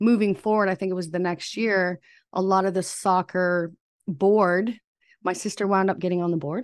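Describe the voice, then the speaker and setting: Against a quiet background, a woman talks in a plain, everyday voice at medium pitch. Her pace is moderate and her intonation fairly even. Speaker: psychic medium and spiritual coach. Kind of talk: casual podcast interview about personal journey.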